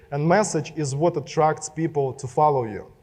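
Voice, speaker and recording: This is a man speaking. He has a Russian accent. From Belarus. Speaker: social media marketer. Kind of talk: keynote speech. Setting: stage with audience.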